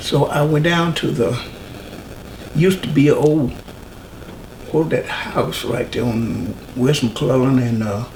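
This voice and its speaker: With a North Carolina accent, a man speaks with long, frequent pauses amid noticeable background noise and audible room echo. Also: medium pitch for a man, ordinary pitch variation, fairly slow pace. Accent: Southern US (North Carolina). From US South, rural North Carolina near Mooresville. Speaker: oral history interviewee. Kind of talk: interview. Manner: halting.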